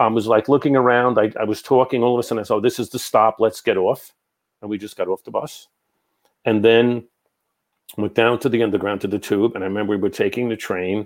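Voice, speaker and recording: A man with an American accent talks at a very fast pace, medium in pitch with fairly even intonation. The recording is very clean, with a silent background. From New York. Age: 60s. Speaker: psychic medium. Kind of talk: casual interview.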